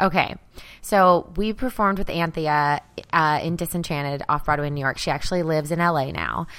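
With an American accent, a woman talks at a fairly quick pace, fairly low-pitched, with ordinary pitch variation. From US South, Arkansas. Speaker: comedy podcast co-host. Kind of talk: casual chat.

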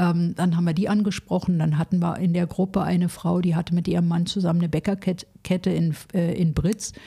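A woman with a dark, mellow, somewhat breathy tone and a fairly low pitch speaks at a fairly quick pace in a monotone, flat way with hardly any pauses, in a very clean recording on a silent background. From Berlin (West Berlin). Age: 60s. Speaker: social worker, charity founder. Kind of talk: interview.

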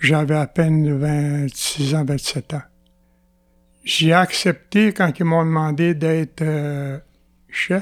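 A man with a Quebec accent at a very slow pace, fairly high in pitch and fairly even in intonation, with long, frequent pauses. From Quebec, Atikamekw community of Opitciwan. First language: Atikamekw (speaking French). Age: 70s. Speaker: former chief and elder. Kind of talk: interview. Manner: halting.

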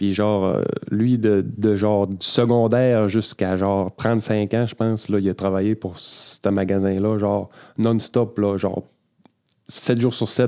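Monotone, flat intonation from a man pitched fairly low. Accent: Quebec. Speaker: podcast host, gym coach. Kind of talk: casual chat.

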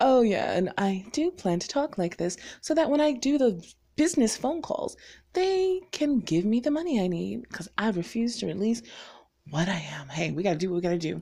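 Somewhat breathy and fairly high-pitched, a woman speaks in an animated tone at a moderate pace with very wide pitch swings on a very clean recording with a silent background. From North Carolina, US South. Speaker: vlogger. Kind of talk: casual chat. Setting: home recording.

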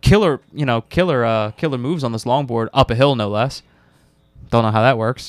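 In a dry, close sound with no echo, a man with an unremarkable speaking voice talks at a fairly quick pace in a medium pitch with ordinary pitch variation. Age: 30s. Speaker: gaming podcast co-host. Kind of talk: casual chat.

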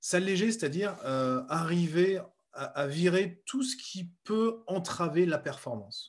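At a very slow pace, a man speaks in a high pitch. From central France. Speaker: speed skier and entrepreneur. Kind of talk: interview. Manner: halting, many fillers.

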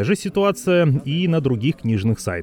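Noticeable background noise surrounds a man's voice. His pitch swings very widely. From Vorkuta, northern Russia. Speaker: podcast host. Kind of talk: scripted narration.

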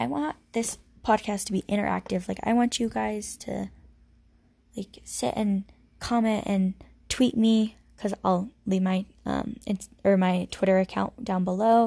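Somewhat breathy and dark and mellow in tone, the voice shows ordinary pitch variation. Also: woman, medium pitch for a woman. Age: 20s. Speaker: solo podcaster. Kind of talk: casual monologue. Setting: her bedroom. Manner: rambling, filler-heavy.

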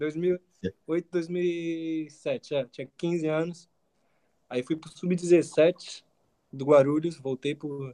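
Speaking very slowly at a fairly high pitch, a man has a dark, mellow tone, fairly even intonation and big swings in loudness, in a dry, close sound with no echo. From São Paulo, Brazil. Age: 20s. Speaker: university student and footballer. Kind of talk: casual interview.

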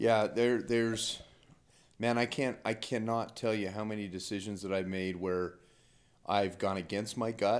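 The recording is very clean, with a silent background. A man with an American accent speaks at a fairly low pitch and fairly even intonation. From Utah. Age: 40s. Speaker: accountant and businessman. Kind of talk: casual chat. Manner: halting.

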